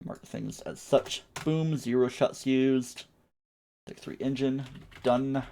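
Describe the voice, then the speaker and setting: A man speaks at a very slow pace. His voice has a medium pitch and a dark, mellow tone. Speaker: video game streamer. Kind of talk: casual live stream gameplay commentary.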